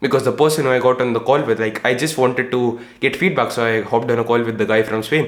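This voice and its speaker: Animated in tone, a man with an Indian accent speaks at a very fast pace with ordinary pitch variation. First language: Hindi. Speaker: entrepreneur and YouTuber. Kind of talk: casual vlog monologue.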